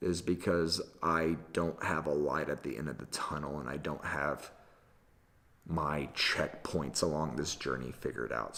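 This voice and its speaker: Moderately paced speech from a man, his pitch very deep and low, with vocal fry. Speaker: storyteller and wedding filmmaker vlogger. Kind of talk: casual solo video podcast monologue. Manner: halting, self-correcting.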